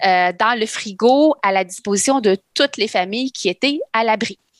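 The recording sounds dry and close, with no echo. A woman with a fairly high pitch talks at a moderate pace. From Lebanon, then Quebec from childhood. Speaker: nutritionist. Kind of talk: casual chat.

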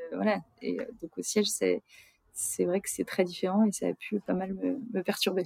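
Fairly slow speech from a woman, dry and close-sounding with no echo. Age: 30s. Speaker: retail commercial policy manager. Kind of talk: interview. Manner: halting, many hesitations.

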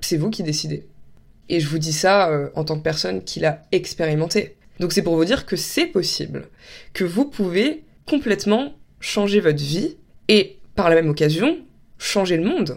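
A woman with a fairly low pitch talks at a fairly slow pace with lively intonation and long, frequent pauses, in a very clean recording with a silent background. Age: 20s. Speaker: podcaster. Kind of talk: solo monologue podcast. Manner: casual, hesitant with fillers.

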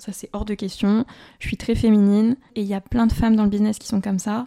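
A woman speaks in a dark, mellow tone with monotone, flat intonation. The sound is dry and close with no echo, on a very clean recording with a silent background. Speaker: business podcaster. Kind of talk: unscripted solo podcast.

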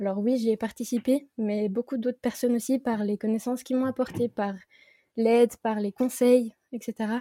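Recorded with a dry, close sound and no echo, a woman speaks in a dark, mellow tone with monotone, flat intonation. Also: moderate pace. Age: 20s. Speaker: independent watchmaker. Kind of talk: casual chat.

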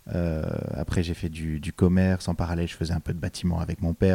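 Very deep and low in pitch, a man speaks very fast with a dark, mellow tone and monotone, flat intonation, in a very clean recording with a silent background and a dry, close sound with no echo. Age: 20s. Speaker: drama student and actor, former radio host. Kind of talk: podcast interview.

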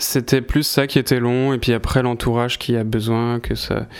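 Monotone, flat intonation shapes this man's speech. His pitch is medium and his pace fairly slow. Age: 20s. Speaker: musician. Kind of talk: interview.

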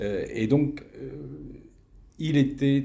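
A man's dark, mellow voice with vocal fry and lively intonation, at a very slow pace, in audible room echo. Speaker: retired teacher. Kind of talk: testimony interview. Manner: halting, many repetitions.

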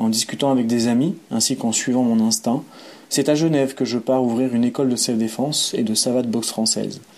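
Using a normal speaking voice, a man talks fairly quickly at a medium pitch with fairly even intonation. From France, Savoie (Aix-les-Bains). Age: 30s. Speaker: boxer, cultural activity leader and traveler. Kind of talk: reading aloud a personal narrative.

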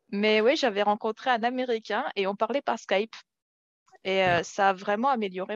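Very fast speech comes from a woman with a medium pitch and ordinary pitch variation. The sound is dry and close, with no echo. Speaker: French teacher co-presenter. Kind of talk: casual conversational chat in French.

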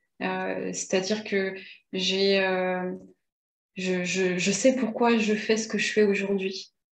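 Amid audible room echo, a woman at medium pitch talks at a very slow pace in a monotone, flat intonation with long, frequent pauses. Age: 40s. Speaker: videographer and entrepreneur. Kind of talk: interview. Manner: hesitant, many fillers.

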